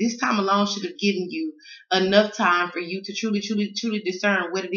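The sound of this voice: Her voice carries a Southern US accent and a fairly bright tone. The woman talks at a fairly quick pace with audible room echo. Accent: Southern American.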